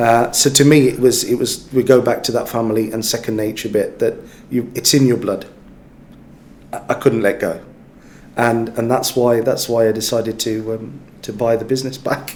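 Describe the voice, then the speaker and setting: Delivered at a moderate pace, the speech has a monotone, flat intonation. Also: man, medium pitch for a man. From West Midlands, England. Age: 40s. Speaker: business executive. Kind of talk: interview. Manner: halting, many fillers.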